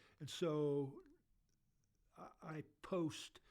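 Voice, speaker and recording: Speaking with an American accent, a man has a fairly high pitch and a dark, mellow tone. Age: 80s+. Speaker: artist and retired art teacher. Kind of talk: interview. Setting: recording studio. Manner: halting, many restarts.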